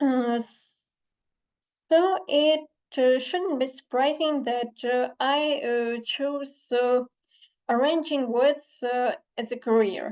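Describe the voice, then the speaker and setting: A woman speaks very slowly in a Ukrainian accent, her pitch high. Long pauses come often. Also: ordinary pitch variation. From Ukraine. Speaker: literary translator. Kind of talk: conference talk. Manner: halting, many fillers.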